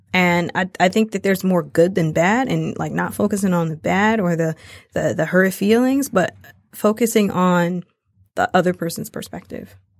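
Captured in a very clean recording with a silent background, a woman of medium pitch speaks at a moderate pace with ordinary pitch variation. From Detroit, Michigan. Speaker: language and travel educator, small business owner. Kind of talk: casual interview. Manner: animated.

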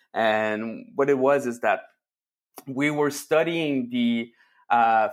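Very slowly and at medium pitch, a man with a French accent speaks with ordinary pitch variation on a very clean recording with a silent background. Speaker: analytics consultancy founder. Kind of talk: casual interview chat. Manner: halting, many repetitions.

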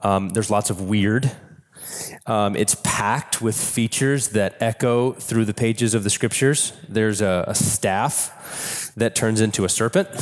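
Over noticeable background noise, a man with a fairly low pitch speaks with fairly even intonation and very even loudness. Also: fairly slow pace. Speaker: pastor. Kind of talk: sermon.

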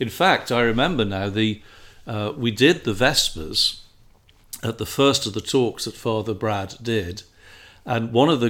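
The speaker uses ordinary pitch variation in an English accent. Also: man. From England. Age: 50s. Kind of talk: casual conversation. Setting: indoors.

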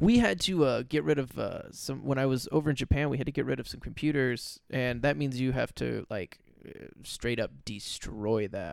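Speaking in a normal speaking voice with an American accent, a man keeps a medium pitch, ordinary pitch variation, and a moderate pace. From California. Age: 30s. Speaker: comedian. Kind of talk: casual chat. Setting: studio.

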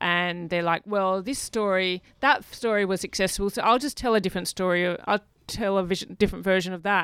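Speaking fairly quickly with an Australian accent, a woman holds a medium pitch and fairly even intonation in a very clean recording with a silent background. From Australia, Perth. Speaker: film director and writer. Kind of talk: interview conversation. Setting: radio studio.

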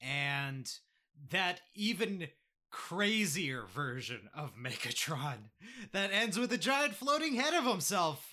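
With vocal fry and a bright, sharp tone, a man speaks at a very slow pace while his pitch swings very widely. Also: very clean recording, silent background. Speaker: podcast host. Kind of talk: casual chat.

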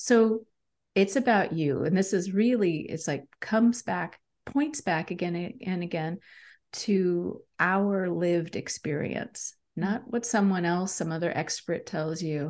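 Over a quiet background, a woman with a plain, everyday voice speaks at a fairly slow pace. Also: medium pitch for a woman, ordinary pitch variation. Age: 50s. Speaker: leadership coach and author. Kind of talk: interview.

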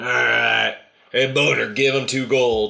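Using a raspy, put-on character voice, a man speaks at a medium pitch and a fairly slow pace. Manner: gruff, commanding.

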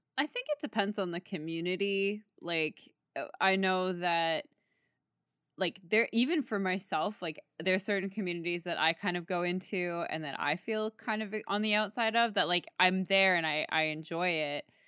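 A woman with a Canadian accent has a plain, everyday voice at medium pitch. She speaks at a moderate pace with ordinary pitch variation. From Toronto, Canada. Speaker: singer-songwriter and music streamer. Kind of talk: casual chat.

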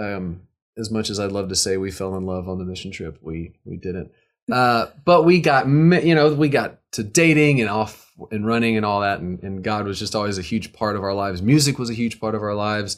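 An ordinary speaking voice from a man with an American accent, fairly low in pitch, lively in intonation and fairly quick in pace. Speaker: musician and recording artist. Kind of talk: casual interview chat. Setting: online video call. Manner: joking, playful.

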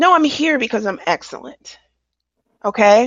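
In a passionate tone, a woman with a fairly high pitch, vocal fry and ordinary pitch variation speaks. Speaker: podcast co-host. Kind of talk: casual chat. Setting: remote recording from home.

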